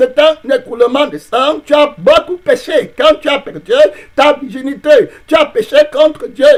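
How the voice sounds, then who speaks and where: Speaking at a fairly slow pace, a man uses an extremely high pitch and lively intonation. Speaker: pastor. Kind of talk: sermon.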